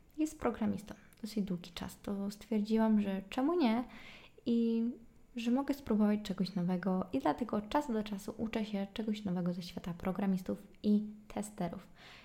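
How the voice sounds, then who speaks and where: A somewhat breathy woman's voice of medium pitch, dark and mellow in tone, at a moderate pace. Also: ordinary pitch variation. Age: 20s. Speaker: podcaster. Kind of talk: solo casual monologue. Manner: chatty.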